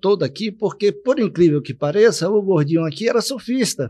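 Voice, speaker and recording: A man talks in a high pitch with lively intonation. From Salvador, Bahia, Brazil; Bahia, Brazil. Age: 60s. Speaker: local political candidate; interview guest. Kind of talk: political interview. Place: studio. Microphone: studio mic.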